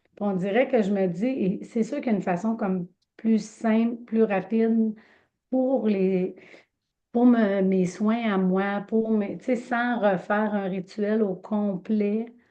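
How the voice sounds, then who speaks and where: Very slowly and with fairly even intonation, the speaker talks in a Quebec accent. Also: woman, fairly high pitch for a woman. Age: 50s. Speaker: medium and energy healer. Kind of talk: casual introduction in online group session. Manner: halting, many fillers.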